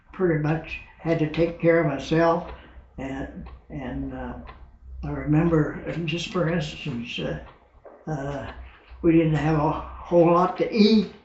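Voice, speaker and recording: Audible room echo carries this voice. The pace is fairly slow and the intonation fairly even. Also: man. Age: 80s+. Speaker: war veteran. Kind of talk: interview.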